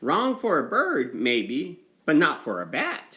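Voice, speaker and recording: In a put-on character voice, this man talks fairly slowly and fairly high. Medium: read story.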